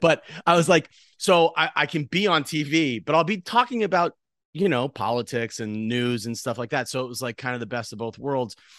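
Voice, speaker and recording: A man talks in a plain, everyday voice, fairly high in pitch, with lively intonation at a fairly quick pace. The sound is dry and close with no echo, over a quiet background. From central Massachusetts. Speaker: comedic actor and impressionist. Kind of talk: interview conversation.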